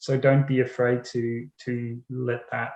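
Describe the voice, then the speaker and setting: The voice is somewhat breathy with a dark, mellow tone. Its intonation is monotone and flat. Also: man. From Netherlands. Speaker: writer. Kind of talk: panel discussion.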